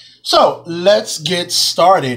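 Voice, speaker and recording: Here a man talks with ordinary pitch variation. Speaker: cake decorating teacher. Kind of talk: tutorial. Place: kitchen. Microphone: phone near.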